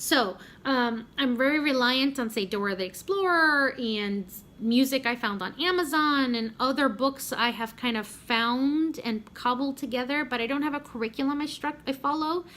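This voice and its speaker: Speaking at a moderate pace in a Spanish accent, the voice has a bright, sharp tone and ordinary pitch variation. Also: woman, high pitch for a woman. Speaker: homeschooling mom vlogger. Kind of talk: casual vlog update. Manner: conversational with frequent fillers and self-corrections.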